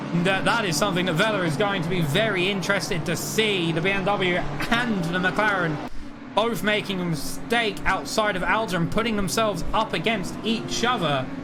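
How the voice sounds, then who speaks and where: Over music in the background and audible room echo, a man with a high pitch uses a raised, projected voice at a moderate pace and very even loudness. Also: ordinary pitch variation. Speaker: sim racing commentator. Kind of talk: live commentary. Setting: live stream. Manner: animated.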